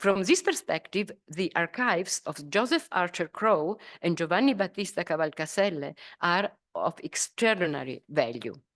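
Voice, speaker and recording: A woman with an Italian accent speaks at a moderate pace in a medium pitch with lively intonation, the sound dry and close with no echo against a quiet background. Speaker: professor. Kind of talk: lecture. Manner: halting, many fillers.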